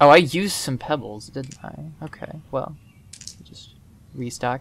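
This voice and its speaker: A man speaks at a moderate pace. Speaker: gaming video creator. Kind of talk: let's play commentary. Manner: monotone; casual, filler-heavy.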